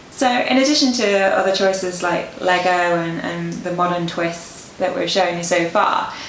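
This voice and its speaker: A woman with a British accent at medium pitch, ordinary pitch variation, a moderate pace and hardly any pauses, amid audible room echo and noticeable background noise. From Britain. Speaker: wedding advice presenter. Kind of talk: casual chat.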